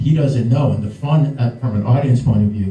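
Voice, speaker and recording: A man with a New York accent speaks at a fairly quick pace in a medium pitch, his intonation fairly even, with audible room echo. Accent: New York American. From US Northeast, New York City. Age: 60s. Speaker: screenwriter. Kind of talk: Q&A talk at a live event. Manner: halting, repeats words.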